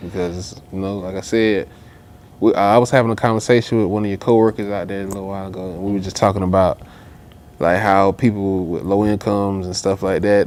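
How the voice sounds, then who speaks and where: In a strong Southern US accent, a man speaks with monotone, flat intonation and big swings in loudness. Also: fairly low pitch for a man, fairly quick pace. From US South, Augusta, Georgia. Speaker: rapper. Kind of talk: casual interview chat.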